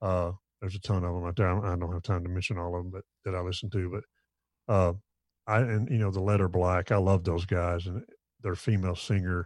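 Over a quiet background, a man with a very deep, low voice talks at a very fast pace with fairly even intonation and long, frequent pauses. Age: 50s. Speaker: bass player. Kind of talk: casual chat. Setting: video call.

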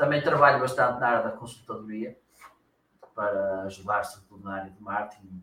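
This man speaks at a moderate pace with ordinary pitch variation, big swings in loudness, and long, frequent pauses. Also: medium pitch for a man. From northern Portugal, Viana do Castelo. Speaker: marketing consultant and trainer. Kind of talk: casual interview.

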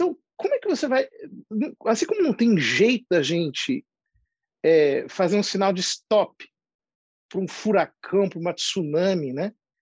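This man's pitch is high, and his intonation is lively. He speaks at a fairly slow pace with long, frequent pauses, in a dry, close sound with no echo. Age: 40s. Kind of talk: interview conversation. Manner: halting, many fillers.

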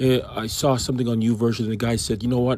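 Fairly quick pace and medium pitch from a man with an unremarkable speaking voice. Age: 50s. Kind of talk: devotional Bible commentary. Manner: conversational.

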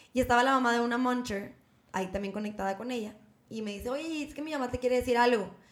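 Very fast, high-pitched speech from a woman, with ordinary pitch variation. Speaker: podcast co-host. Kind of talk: casual chat.

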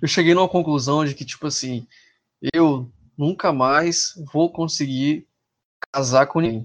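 A man with a fairly high voice speaks at a fairly slow pace, using ordinary pitch variation. He leaves long, frequent pauses. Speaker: podcast guest. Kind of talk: casual chat.

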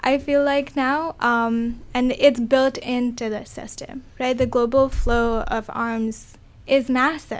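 A woman with a high pitch talks at a very slow pace, her intonation fairly even. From India. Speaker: graduate student. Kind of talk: panel discussion.

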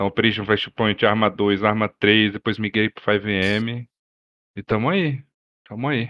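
A man's ordinary speaking voice, fairly low in pitch, at a fairly slow pace with fairly even intonation. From Brazil, Brasília. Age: 30s. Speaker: roleplay streamer. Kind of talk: casual chat.

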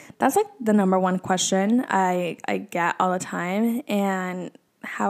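The speech goes at a fairly slow pace with ordinary pitch variation. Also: woman. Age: 20s. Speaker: podcast host. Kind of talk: casual solo monologue.

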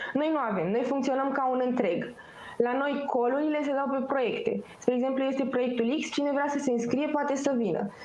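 Against noticeable background noise and audible room echo, a woman with a high pitch and ordinary pitch variation talks at a moderate pace. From Romania, Pitești. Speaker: student association representative. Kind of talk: interview.

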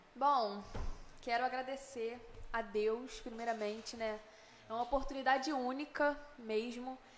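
A woman's high-pitched voice at a fairly slow pace, with long, frequent pauses and noticeable background noise. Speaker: singer, festival contestant. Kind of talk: casual interview.

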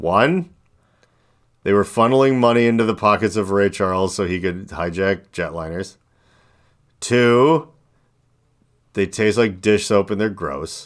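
This man talks at a fairly slow pace with long, frequent pauses and a fairly low pitch. The recording is very clean, with a silent background. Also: ordinary pitch variation. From US Midwest. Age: 40s. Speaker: podcast host. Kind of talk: casual chat.

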